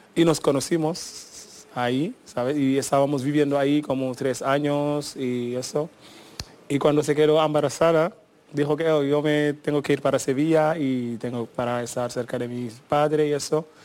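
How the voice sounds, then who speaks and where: A man with a fairly high pitch speaks at a moderate pace, his intonation fairly even. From Senegal. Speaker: musician. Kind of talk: radio interview. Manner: halting.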